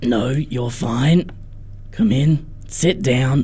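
This is a put-on character voice with a low-to-middle pitch. It sounds guttural.

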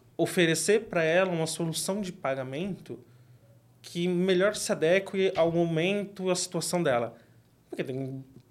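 The speech moves at a moderate pace with ordinary pitch variation. It is delivered in a São Paulo accent. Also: man, high pitch for a man. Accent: Paulistano Brazilian Portuguese. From São Paulo, Grajaú. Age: 20s. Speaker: product manager and martial artist. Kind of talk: interview.

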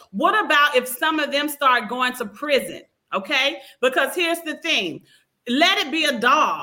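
A woman's high, raised and projected voice, fairly slow, with lively intonation. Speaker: show host moderator. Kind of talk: casual panel discussion. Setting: video call live show.

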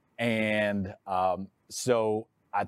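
In a very clean recording with a silent background and a dry, close sound with no echo, a man with a Texas accent speaks in a fairly low pitch. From Texas, Dallas-Fort Worth. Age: 40s. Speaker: realtor and YouTuber. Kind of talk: podcast interview.

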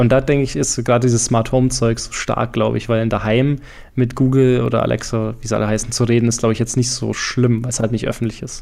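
A very fast man with a slight Franconian accent, medium in pitch and monotone, flat in intonation. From Franconia, Germany. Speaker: PR professional and podcaster. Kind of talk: casual interview chat.

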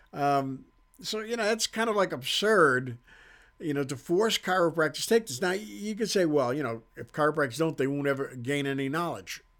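A loud man's voice, fairly high in pitch, at a moderate pace, with very wide pitch swings. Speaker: chiropractor and podcast host. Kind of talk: casual monologue. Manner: loud and boisterous.

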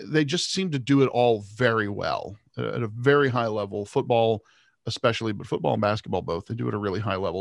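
At a fairly quick pace, a man speaks in a normal speaking voice with ordinary pitch variation, the sound dry and close with no echo. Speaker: sports podcast co-host. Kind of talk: casual chat.

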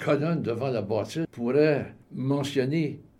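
A man's voice has a dark, mellow tone. It sounds somewhat breathy. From Quebec, Montreal. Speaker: retired salesman and community volunteer. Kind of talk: radio interview.

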